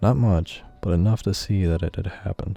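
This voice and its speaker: Speech moves at a moderate pace with fairly even intonation. Music plays in the background. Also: man. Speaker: amateur horror narrator. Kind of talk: first-person horror story narration.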